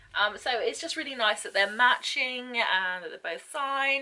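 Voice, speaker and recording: A woman speaks with a high voice. Music plays in the background. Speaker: book unboxing vlogger. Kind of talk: casual talk to camera.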